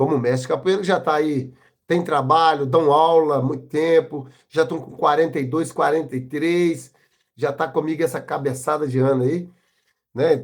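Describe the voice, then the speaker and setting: A man with a normal speaking voice talks at a moderate pace. His pitch is fairly high, and his intonation is fairly even. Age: 60s. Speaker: capoeira master. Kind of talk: interview. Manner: casual, uses slang fillers.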